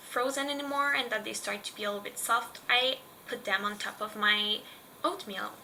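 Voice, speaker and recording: A woman talks with ordinary pitch variation. Noticeable background noise runs under her voice. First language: French. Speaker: lifestyle vlogger. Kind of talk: casual tutorial vlog.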